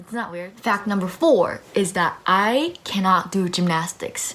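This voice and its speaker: A woman's medium-pitched voice with lively intonation, amid noticeable background noise. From Japan, then Australia and US. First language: Japanese. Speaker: personal finance vlogger. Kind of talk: casual chat. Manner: animated.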